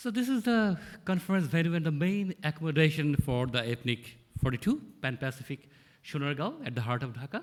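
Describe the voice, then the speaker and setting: Speaking at a fairly quick pace, this man has a fairly high pitch. His voice is somewhat breathy, with very wide pitch swings. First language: not English. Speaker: conference organizer. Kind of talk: conference presentation. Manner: fast.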